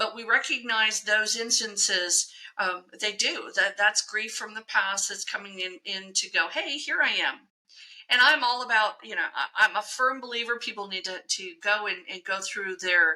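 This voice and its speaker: At a moderate pace, a woman speaks with a fairly high pitch, ordinary pitch variation and big swings in loudness. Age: 60s. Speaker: psychic medium. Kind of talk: casual chat. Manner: halting.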